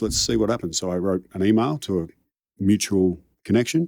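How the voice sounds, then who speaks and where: Over a silent background in a very clean recording, a man with a very deep, low pitch and a dark, mellow tone speaks with ordinary pitch variation. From Australia, Melbourne suburbs. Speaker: high-performance coach. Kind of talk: interview conversation. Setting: studio.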